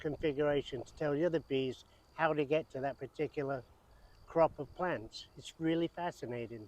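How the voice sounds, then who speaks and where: In a dry, close sound with no echo, a man with an English accent and a fairly high pitch speaks at a moderate pace with fairly even intonation. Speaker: RV travel vlogger. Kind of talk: casual travel vlog chat; on-location piece to camera. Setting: outdoors among wildflowers.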